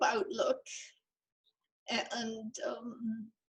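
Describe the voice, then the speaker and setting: The woman talks very slowly. Her pitch makes very wide swings. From Saskatchewan, Canada. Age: 90s. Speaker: interviewee. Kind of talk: interview.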